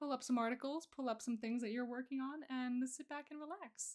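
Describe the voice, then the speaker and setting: Against a quiet background, a woman talks in a high voice with fairly even intonation. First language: Russian. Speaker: streamer and digital artist; streamer. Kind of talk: casual chat. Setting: live stream. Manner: halting. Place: home room.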